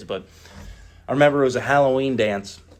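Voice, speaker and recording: A man with a Midwestern American accent speaks at a very fast pace. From US Midwest, Northeast Ohio. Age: 30s. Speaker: recovery meeting speaker. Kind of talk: personal testimony at recovery meeting. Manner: casual, halting with filler words.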